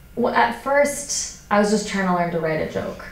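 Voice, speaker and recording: Noticeable background noise fills the recording. A woman talks at a moderate pace. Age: 20s. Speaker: stand-up comedian. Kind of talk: interview answer. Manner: casual, conversational.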